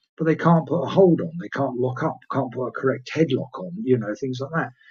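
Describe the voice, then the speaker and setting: A man speaks with an English accent. His voice is somewhat breathy. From England. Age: 60s. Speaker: retired pro wrestler. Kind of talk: interview. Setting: live stream. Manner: hesitant with filler words.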